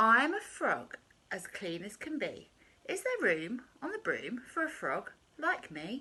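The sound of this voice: In a croaky put-on character voice, a woman speaks at a high pitch and a fairly slow pace.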